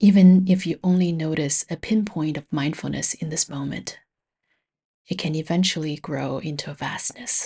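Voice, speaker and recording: A woman's very deep, low, somewhat breathy voice, dark and mellow in tone, with ordinary pitch variation against a quiet background. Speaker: meditation teacher. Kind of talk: guided meditation. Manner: soft-spoken; slow.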